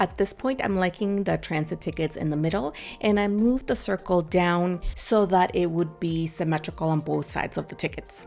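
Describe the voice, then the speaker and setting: Over music in the background, a woman with a fairly low pitch speaks with hardly any pauses and ordinary pitch variation. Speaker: scrapbooking crafter. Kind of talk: tutorial. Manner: normally fast talker.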